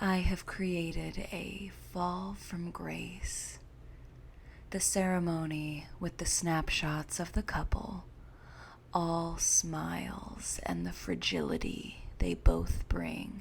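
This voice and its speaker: Very slowly, someone soft-spoken gets the words out. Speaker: horror story narrator. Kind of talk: sleep story.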